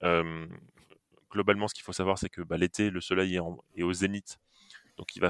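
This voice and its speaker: Dry and close with no echo, a man speaks at a very deep, low pitch with monotone, flat intonation. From Lorraine, France (Metz). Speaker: company founder. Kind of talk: podcast interview. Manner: hesitant, many fillers.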